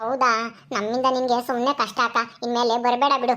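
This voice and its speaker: On a very clean recording with a silent background, a woman uses a put-on character voice pitched high. She speaks at a moderate pace in a flat monotone. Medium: audio drama. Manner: gentle, grateful.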